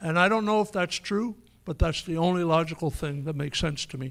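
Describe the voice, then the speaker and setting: A man speaks at a fairly quick pace in an unremarkable speaking voice. His pitch variation is ordinary. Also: very clean recording, silent background. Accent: Canadian. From Canada. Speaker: political activist speaker. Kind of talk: public speech with Q&A.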